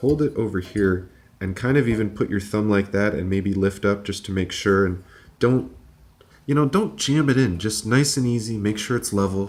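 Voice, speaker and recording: Quiet and fairly low in pitch, a man with an American accent speaks at a moderate pace with ordinary pitch variation. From United States. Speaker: engineer and tech hobbyist youtuber. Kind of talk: tutorial. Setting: home apartment. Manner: quiet, subdued.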